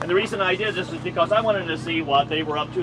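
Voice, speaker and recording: A man's speech carries ordinary pitch variation, with noticeable background noise behind it. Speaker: town council member. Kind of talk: town hall comment. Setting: coffee shop community meeting, no microphone. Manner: loud; halting.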